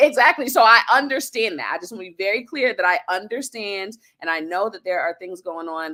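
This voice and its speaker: A loud woman's voice at a medium pitch, bright and sharp in tone, with lively intonation, a fairly quick pace and hardly any pauses. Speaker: school social worker. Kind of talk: casual chat. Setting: live podcast stream.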